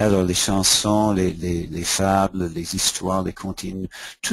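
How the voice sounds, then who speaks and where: A man speaks fairly slowly in an English accent. His pitch is fairly low and his intonation flat and monotone. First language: English (speaking French). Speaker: education consultant and author. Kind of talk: webinar presentation. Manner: halting, repeats words.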